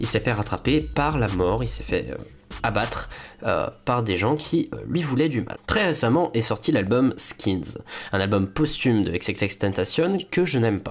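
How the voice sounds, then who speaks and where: Vocal fry marks a man's medium-pitched voice, which swings very widely in pitch at a fairly slow pace. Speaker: YouTuber. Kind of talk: video commentary. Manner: hesitant, many fillers.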